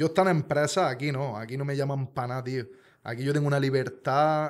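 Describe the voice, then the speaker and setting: A man talks at a fairly quick pace. Behind him the background stays quiet. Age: 30s. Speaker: truck driver and youtuber; youtuber. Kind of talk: casual chat, personal testimony. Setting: studio. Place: studio. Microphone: studio mic.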